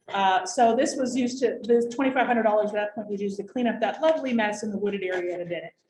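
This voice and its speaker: A woman's fairly high voice at a very fast pace, hardly any pauses, and ordinary pitch variation. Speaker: waste district director presenting grants. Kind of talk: informational workshop presentation.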